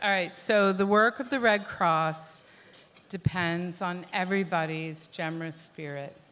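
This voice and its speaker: Audible room echo surrounds a woman who talks at a fairly slow pace, her fairly low pitch varying in an ordinary way. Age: 50s. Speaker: event co-chair. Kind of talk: gala speech. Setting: stage with audience.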